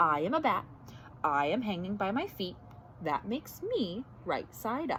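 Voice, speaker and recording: A woman puts on a character voice at a medium pitch and a moderate pace. She leaves long, frequent pauses over clear background noise. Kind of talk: bedtime story. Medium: read story.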